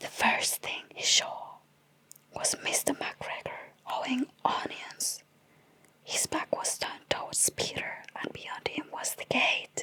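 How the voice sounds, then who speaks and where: Whispered words come very slowly amid noticeable background noise. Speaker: ASMR artist. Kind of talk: bedtime story reading. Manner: soft, soothing.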